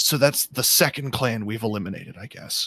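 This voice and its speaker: A man whispers in a breathy, put-on character voice at a fairly quick pace. The sound is dry and close, with no echo. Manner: whispering.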